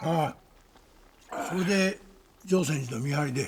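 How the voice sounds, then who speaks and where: Putting on a character voice, a man speaks fairly slowly in a raspy, fairly high-pitched tone. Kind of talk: period drama acting. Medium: short film. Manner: soft-spoken, deferential.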